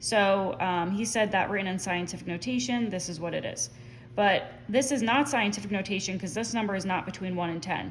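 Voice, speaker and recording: A woman with vocal fry and a medium pitch speaks at a fairly quick pace, with room echo audible around her. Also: lively intonation. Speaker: math teacher. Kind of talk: tutorial. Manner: casual with fillers.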